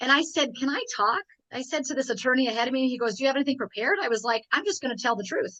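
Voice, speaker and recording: A woman's raised, projected voice, high in pitch, with a bright, sharp and animated tone, lively intonation and a very fast pace. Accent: American. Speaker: health and fitness coach. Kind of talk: interview conversation.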